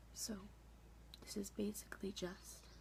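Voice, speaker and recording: A soft-spoken woman, whispering. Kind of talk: ASMR makeup session, soft-spoken tutorial to camera. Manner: soft-spoken, whispery.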